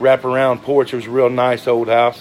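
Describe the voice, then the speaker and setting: With music in the background, a man with a Southern US accent speaks at medium pitch and a fairly quick pace. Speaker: social media personality. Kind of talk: casual monologue. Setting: livestream. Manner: halting.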